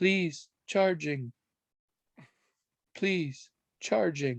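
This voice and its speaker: This is a put-on character voice with a robotic quality and a middle pitch. It is soft-spoken throughout. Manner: very soft, weak, distant.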